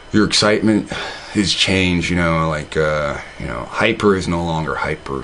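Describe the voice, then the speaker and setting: Over noticeable background noise, a man talks at a moderate pace in a very deep, low voice. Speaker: online video host. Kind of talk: casual monologue. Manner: halting, many fillers and repeats; stutters when reading.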